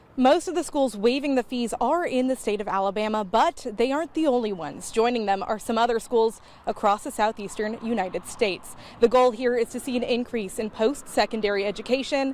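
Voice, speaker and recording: Delivered at a fairly quick pace, a plain, everyday voice shows ordinary pitch variation. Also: woman, fairly high pitch for a woman. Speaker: TV news reporter and anchor. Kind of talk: TV news reporting and anchoring.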